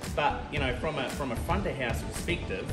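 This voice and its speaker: Loud music plays in the background as the speech runs at a fairly quick pace. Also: man. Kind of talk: interview answer. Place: bar. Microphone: camera far.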